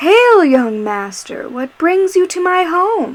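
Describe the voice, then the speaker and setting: In a put-on character voice, a woman speaks at a very slow pace with an extremely high pitch and very wide pitch swings. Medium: read story. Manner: soothing, calm, with a menacing undertone.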